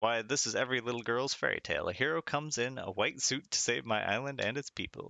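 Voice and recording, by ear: In a natural voice, someone reads a passage aloud.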